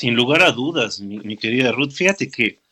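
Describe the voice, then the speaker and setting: Dry and close with no echo, a man's bright, sharp voice sits at a medium pitch with ordinary pitch variation. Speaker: radio host, psychoanalyst. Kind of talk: radio show chat.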